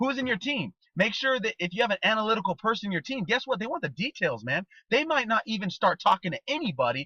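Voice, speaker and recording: A man with a high-pitched, bright and sharp voice projects loudly at a very fast clip, his pitch swinging very widely, in a dry, close sound with no echo. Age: 30s. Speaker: network marketing trainer. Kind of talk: motivational training talk. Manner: animated.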